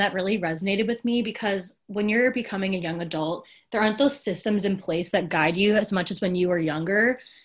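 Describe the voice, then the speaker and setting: In an ordinary speaking voice, a woman of medium pitch talks fairly quickly with hardly any pauses and ordinary pitch variation against a quiet background. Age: 20s. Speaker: preschool teacher. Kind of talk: casual chat.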